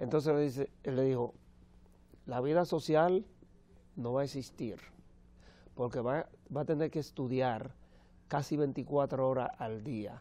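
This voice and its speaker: Pausing long and often, a man speaks at a fairly slow pace with a medium pitch, ordinary pitch variation and a dark, mellow tone. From Dominican Republic. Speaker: opera tenor; TV guest. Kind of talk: TV interview. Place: studio. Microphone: lapel.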